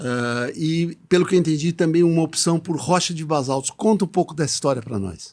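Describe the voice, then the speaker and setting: A man at fairly high pitch, moderate pace, ordinary pitch variation and hardly any pauses. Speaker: podcast host. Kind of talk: podcast interview. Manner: hesitant with frequent filler sounds.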